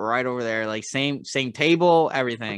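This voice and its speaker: This very clean recording with a silent background features a man in a normal speaking voice with an American accent. His pitch is fairly high for a man, with ordinary variation, at a moderate pace. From Philadelphia. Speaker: podcast co-host, Marine veteran. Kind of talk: casual chat.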